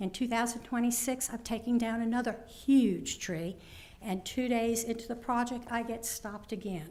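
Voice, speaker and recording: A woman with a fairly high voice talks at a moderate pace with fairly even intonation, and the room echo is audible. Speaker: resident speaking at public comment, former city councilwoman. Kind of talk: public comment at a council meeting. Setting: city council chamber. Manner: loud.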